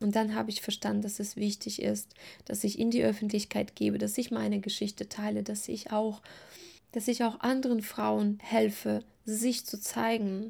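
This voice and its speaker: On a very clean recording with a silent background, a woman with a fairly high pitch speaks at a moderate pace in a warm, dark, mellow, somewhat breathy tone with monotone, flat intonation. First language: not German (speaking German). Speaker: eating and body-image coach, podcast host. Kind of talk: solo podcast monologue. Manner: warm, personal.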